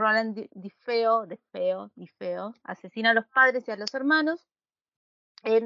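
A plain, everyday voice from a woman, fairly high in pitch, with ordinary pitch variation. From Buenos Aires, Argentina. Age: 30s. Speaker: podcast co-host. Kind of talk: casual chat.

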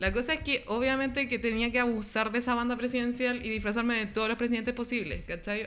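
A woman speaks with a Chilean accent at a fairly quick pace. Her voice is fairly high, and there is audible room echo. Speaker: podcast guest. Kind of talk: casual chat.

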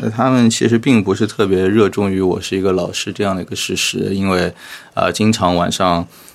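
This man has a normal speaking voice. His pitch is fairly low. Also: fairly even intonation, fairly quick pace. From Shanghai. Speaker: podcast host and education entrepreneur. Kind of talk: casual interview chat.

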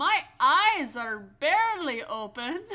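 Using a put-on character voice, a female-sounding speaker talks at a very slow pace in a high, raised and projected voice with very wide pitch swings. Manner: sleepy, tired.

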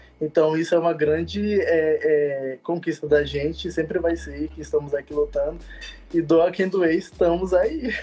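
Noticeable background noise runs under a man talking at a fairly slow pace. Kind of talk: interview in a live stream.

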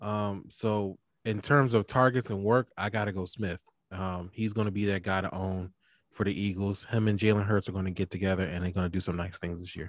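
A man with a Philadelphia accent, fairly low pitch, fairly even intonation, and a fairly quick pace, on a very clean recording with a silent background. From Philadelphia, US. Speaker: fantasy football podcaster. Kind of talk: casual sports chat.

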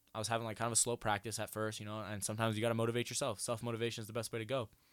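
Speech comes at a very fast pace in a very clean recording with a silent background. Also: man. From Iowa. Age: 20s. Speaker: college football player and podcast host. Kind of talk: casual chat.

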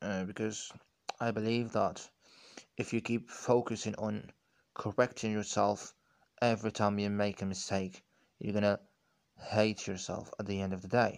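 Against a quiet background, a man speaks in a monotone, flat intonation at a fairly low pitch and a moderate pace, with long, frequent pauses. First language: not English. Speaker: podcaster practicing English. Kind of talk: solo monologue on language learning. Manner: halting, with many restarts.

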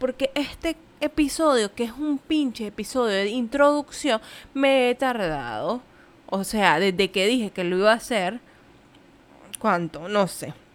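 A fairly slow delivery with lively intonation, captured in a very clean recording against a silent background. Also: woman, fairly high pitch for a woman. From Nicaragua. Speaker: podcaster, physician. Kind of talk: casual monologue. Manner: animated.

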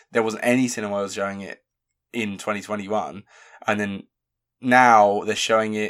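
Speaking with a British accent at a moderate pace, a man with a fairly low pitch keeps a monotone, flat intonation and leaves long, frequent pauses on a very clean recording with a silent background. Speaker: film review podcast host. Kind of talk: casual chat. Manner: quieter than usual.

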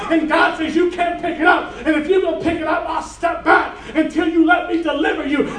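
Over crowd noise in the background, a man with an extremely high pitch talks at a fairly quick pace in a monotone, flat way, with hardly any pauses. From Cuban heritage. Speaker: preacher. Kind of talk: sermon.

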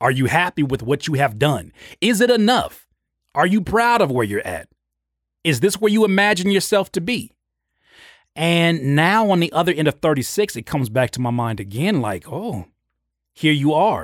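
A man with a high pitch and an energetic tone, very wide pitch swings, a moderate pace and long, frequent pauses, on a very clean recording with a silent background. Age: 30s. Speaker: podcast host and music producer. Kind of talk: solo podcast monologue. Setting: home studio on video. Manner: frequent stammered repetitions.

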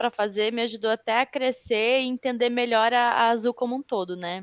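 A woman's fairly high voice, an unremarkable speaking voice, with ordinary pitch variation and a moderate pace. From Rio Grande do Sul, southern Brazil. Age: 20s. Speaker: HR consultant. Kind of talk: interview.

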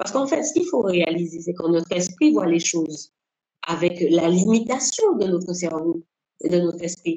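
A woman with a plain, everyday voice and lively intonation. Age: 50s. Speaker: civil servant and life coach. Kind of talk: interview.

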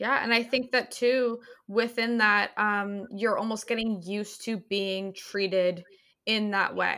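A woman with a normal speaking voice talks at a fairly slow pace. Her pitch is fairly high and her intonation fairly even. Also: very clean recording, silent background. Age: 20s. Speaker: podcast host. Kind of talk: casual chat.

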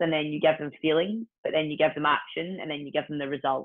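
In a Scottish accent, a woman speaks with a fairly low pitch. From Scotland, Ayr. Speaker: personal trainer and fitness entrepreneur. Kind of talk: casual interview chat.

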